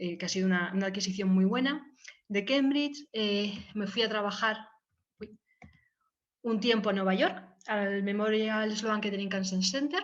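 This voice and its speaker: Moderate pace and ordinary pitch variation, with long, frequent pauses. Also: woman, medium pitch for a woman. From Valencia, Spain. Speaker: biologist researcher. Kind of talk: informal talk with slides. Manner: hesitant, many fillers.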